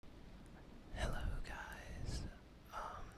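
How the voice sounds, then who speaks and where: The voice is a whisper. Behind it, background noise is noticeable. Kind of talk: ASMR gaming commentary. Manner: whispered, soft-spoken.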